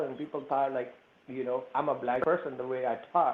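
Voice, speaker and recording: A man's medium-pitched voice with a non-native accent. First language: not English. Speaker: panelist, immigrant business owner. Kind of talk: personal anecdote in panel discussion.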